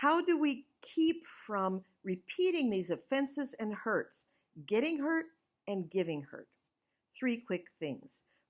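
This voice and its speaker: In a very clean recording with a silent background, a woman with an American accent speaks at a fairly slow pace, her pitch swinging very widely. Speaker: author and scripture study teacher. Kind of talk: inspirational talk. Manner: loud; animated.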